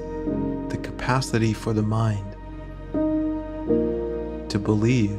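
Loud music plays in the background as a man speaks at a very slow pace with long, frequent pauses. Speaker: meditation guide. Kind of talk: guided meditation. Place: home room. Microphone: earbuds.

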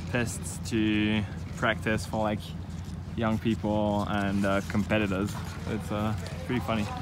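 Fairly low male voice over music in the background, the sound dry with no echo. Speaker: travel vlogger. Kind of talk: casual vlog chat. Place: street. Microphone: phone near.

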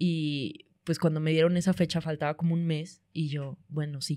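On a very clean recording with a silent background, a woman speaks in a very deep, low pitch at a fairly slow pace with fairly even intonation. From Monterrey, northern Mexico. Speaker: comedian. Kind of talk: casual chat.

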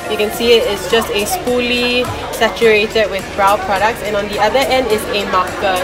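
Clear music plays in the background as a woman talks at a moderate pace with ordinary pitch variation. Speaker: beauty vlogger. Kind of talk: casual vlog product recommendation. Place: shop. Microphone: phone near.

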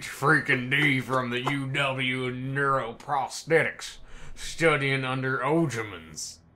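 A man's put-on character voice at a medium pitch, at a very slow pace. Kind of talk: comic amateur voice acting. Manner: hard, defiant.

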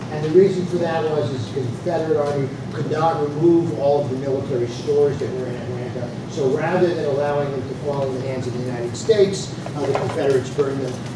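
Loud background noise and audible room echo surround a man talking at a very fast pace with hardly any pauses and ordinary pitch variation. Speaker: lecturer. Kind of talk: lecture. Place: classroom.

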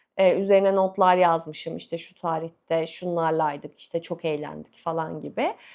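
With an animated tone, a woman delivers her words at a moderate pace. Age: 30s. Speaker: book and lifestyle YouTuber. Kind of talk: casual chat to camera.

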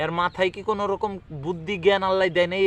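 This man's high-pitched voice has a dry, close sound with no echo. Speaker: news commentary video creator. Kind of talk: casual commentary. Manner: animated.

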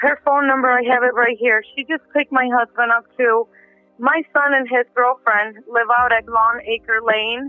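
The speech moves at a moderate pace. The sound is dry with no echo, and faint music plays in the background. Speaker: caller. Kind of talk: emergency phone call. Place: home room. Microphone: phone line.

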